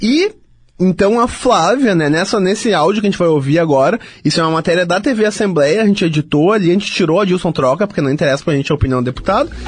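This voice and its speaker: A man's high voice, very fast, with lively intonation and very even loudness. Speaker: radio host. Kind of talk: casual radio presenting.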